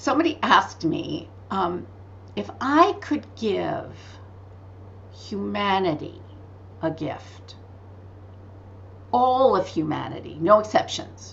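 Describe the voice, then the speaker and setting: A woman speaks with long, frequent pauses. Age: 60s. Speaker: spiritual author and teacher. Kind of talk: podcast interview. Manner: animated.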